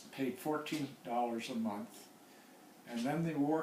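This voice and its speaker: Through noticeable background noise, a man speaks at a very slow pace with ordinary pitch variation. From San Francisco. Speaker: Korean War veteran. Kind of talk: interview answer.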